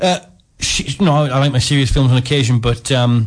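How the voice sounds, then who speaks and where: A man of medium pitch speaks in a somewhat breathy voice. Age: 20s. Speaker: guest. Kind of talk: radio film review chat.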